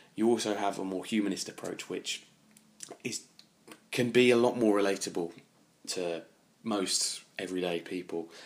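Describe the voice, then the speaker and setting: A man with an English accent talks in a fairly even intonation, leaving long, frequent pauses. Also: fairly low pitch for a man, moderate pace. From England. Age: 20s. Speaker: travel and history podcaster. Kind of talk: solo podcast monologue.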